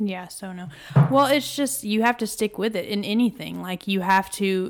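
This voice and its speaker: Heard in a very clean recording with a silent background, a woman with a Texan accent speaks at a fairly quick pace with ordinary pitch variation. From northeast Texas. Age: 20s. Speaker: paralegal, gym member. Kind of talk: interview. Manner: casual, filler-heavy.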